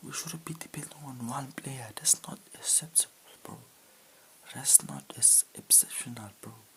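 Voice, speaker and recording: Noticeable background noise accompanies a whisper at a moderate pace. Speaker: football fan youtuber. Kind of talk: match reaction vlog. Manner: repetitive, exasperated.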